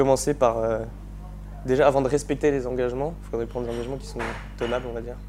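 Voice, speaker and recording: A man talks very fast, his loudness swinging widely. Long pauses come often. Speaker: engineering student. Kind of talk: interview. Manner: halting, many repetitions and fillers.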